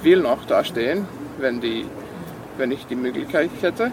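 A man with a Serbian accent speaks at a fairly high pitch over noticeable background noise. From Serbia, Vojvodina (Sombor). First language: Serbian (speaking German). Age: 20s. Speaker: university student. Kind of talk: interview. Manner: halting, many fillers.

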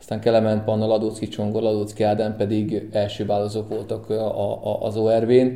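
A man's fairly low, dark, mellow voice at a moderate pace, in monotone, flat intonation. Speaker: kayak coach. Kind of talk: radio interview.

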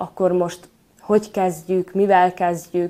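At a very slow pace, a woman speaks in a very clean recording with a silent background. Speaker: acting student. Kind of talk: interview.

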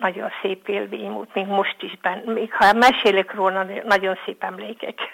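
Behind the woman there is noticeable background noise. She talks fairly slowly. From Vojvodina, Serbia (Bačka). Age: 70s. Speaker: elderly villager. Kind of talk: reminiscence.

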